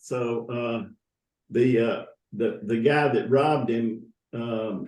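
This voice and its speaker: Very slowly and with audible room echo, a man speaks in a Southern US accent at medium pitch with ordinary pitch variation. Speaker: church founding member. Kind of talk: interview. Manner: halting.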